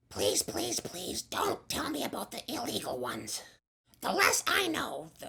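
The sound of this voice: A woman puts on a raspy character voice and speaks at a moderate pace.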